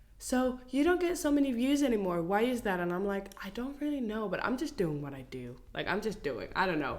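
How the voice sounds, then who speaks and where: A woman's fairly quick speech with hardly any pauses and very wide pitch swings, amid noticeable background noise and audible room echo. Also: fairly high pitch for a woman. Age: 20s. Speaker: content creator. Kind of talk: casual chat.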